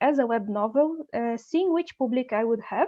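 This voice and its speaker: A woman with a Portuguese accent, high pitch, ordinary pitch variation, and a moderate pace. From Brazil, Rio de Janeiro. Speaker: novelist. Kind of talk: interview.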